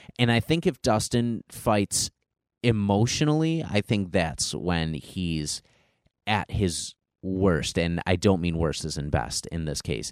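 A man speaks at a very slow pace with a very deep, low pitch and very wide pitch swings, sounding dry and close with no echo on a very clean recording with a silent background. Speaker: podcast host. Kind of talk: solo monologue podcast. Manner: stuttering; casual with frequent fillers.

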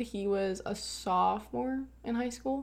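Audible room echo surrounds a woman's speech. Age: young. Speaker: recent high school graduate. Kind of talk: casual chat.

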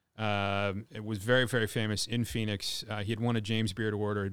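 A man speaks with a slight Californian accent. His fairly low voice stays monotone and flat. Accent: slight California. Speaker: chef and restaurant owner. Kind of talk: casual chat. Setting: video call.

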